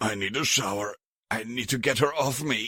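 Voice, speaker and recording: Putting on a croaky, raspy character voice, a man speaks at medium pitch and moderate pace with ordinary pitch variation. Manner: hoarse, distressed.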